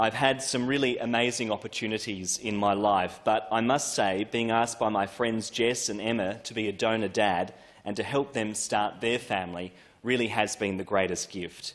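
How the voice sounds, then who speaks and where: At a moderate pace, a man with an Australian accent speaks in a fairly low pitch with fairly even intonation. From Australia, Adelaide southern suburbs. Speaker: politician. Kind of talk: parliamentary first speech. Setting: parliament chamber. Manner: formal.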